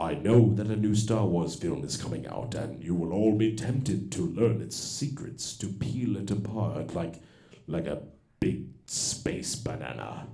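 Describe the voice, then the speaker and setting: A man puts on a character voice with lively intonation, speaking at a moderate pace in a fairly low register with a slight echo. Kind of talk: stage comedy parody. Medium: stage play. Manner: grave, commanding.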